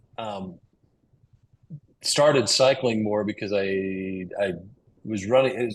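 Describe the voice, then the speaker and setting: Speaking fairly slowly with an American accent, a man has an unremarkable speaking voice at medium pitch with ordinary pitch variation. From Utah, USA. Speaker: cyclist, flooring business owner. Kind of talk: podcast interview answer.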